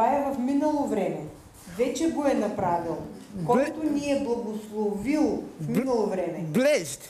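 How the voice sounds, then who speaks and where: A woman with a Bulgarian accent speaks at a moderate pace and a high pitch, her voice making very wide pitch swings over light background noise and audible room echo. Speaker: interpreter. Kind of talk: consecutive interpretation of sermon. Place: church. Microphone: headset.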